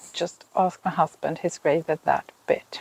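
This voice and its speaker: With a Swedish accent, a woman talks in a dry, close sound with no echo. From Finland. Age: 50s. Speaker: knitting podcaster. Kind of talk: casual vlog talk. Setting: outdoors in a garden.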